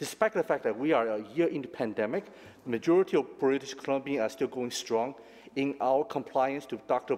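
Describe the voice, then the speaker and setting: Speech from a man comes at a moderate pace. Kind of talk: formal prepared statement. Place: hall.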